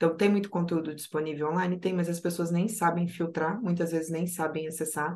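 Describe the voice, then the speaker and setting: Barely pausing, a woman with a fairly low voice talks at a fairly quick pace in a monotone, flat intonation. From Rio Grande do Sul, Brazil. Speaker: project analyst. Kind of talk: podcast interview.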